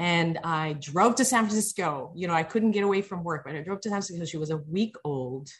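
A woman's somewhat breathy, fairly low voice with an American accent at a fairly quick pace. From outside the US, another country. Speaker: fashion brand founder. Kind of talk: interview podcast. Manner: halting, many fillers and repetitions.

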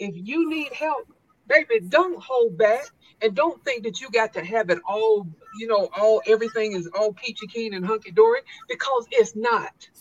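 Speaking with an American accent, a woman has an ordinary speaking voice with a fairly high pitch. She talks at a fairly quick pace with lively intonation. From US South, South Carolina. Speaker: retired army drill sergeant and motivational speaker. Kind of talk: interview storytelling.

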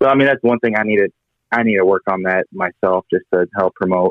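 A man speaks in an unremarkable speaking voice, fairly low in pitch. His pace is fairly quick and his intonation fairly even. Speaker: sprint car team driver. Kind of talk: interview.

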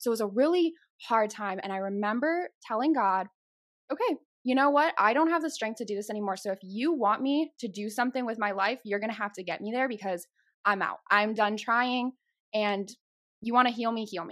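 Speaking at a fairly quick pace, a woman with an American accent uses a fairly high pitch, lively intonation and an animated tone. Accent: slight Chicago accent, comes out at times. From Chicago, US Midwest. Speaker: podcast host and guest. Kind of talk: casual chat. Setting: video recording.

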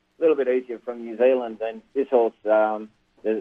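Here a man speaks with an Australian accent. He talks at a fairly quick pace. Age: 60s. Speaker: harness racing trainer. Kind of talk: interview. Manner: halting.

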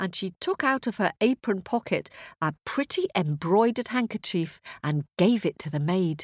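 Over a quiet background comes an unforced reading voice, its intonation lively.

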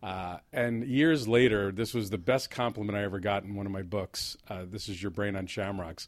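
With a New Jersey accent, a man talks at a moderate pace with hardly any pauses, a fairly low pitch and ordinary pitch variation, on a very clean recording with a silent background. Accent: New Jersey American. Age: 50s. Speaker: playwright. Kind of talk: casual chat.

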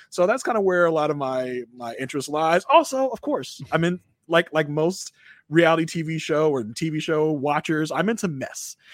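A man with a normal speaking voice and an American accent, fairly high in pitch, at a moderate pace with lively intonation, in a very clean recording with a silent background. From Virginia. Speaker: podcast co-host. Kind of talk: casual chat.

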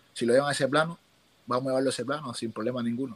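The speaker is a man. His pitch is medium. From Cuba. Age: young. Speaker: Olympic boxer. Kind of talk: interview. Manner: animated.

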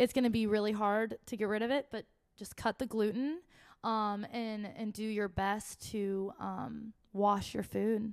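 This woman has an unremarkable speaking voice, fairly high in pitch with fairly even intonation. She talks at a fairly slow pace on a very clean recording with a silent background. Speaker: singer in a music duo. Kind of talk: casual interview chat.

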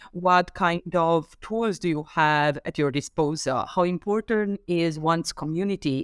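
Recorded very cleanly with a silent background and a dry, close sound free of echo, a woman with a Romanian accent speaks at a moderate pace in a very deep, low pitch with ordinary pitch variation. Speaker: professor and author. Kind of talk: interview.

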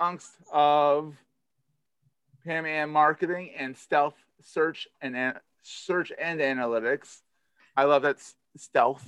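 A man with a Philadelphia accent, fairly high pitch and fairly even intonation, at a very slow pace with long, frequent pauses, big swings in loudness and a dry, close sound with no echo. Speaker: podcast host. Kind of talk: casual interview chat.

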